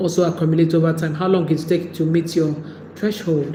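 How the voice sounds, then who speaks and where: Woman with a Nigerian accent and fairly low pitch, noticeable background noise and audible room echo. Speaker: YouTube creator. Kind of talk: livestream talk.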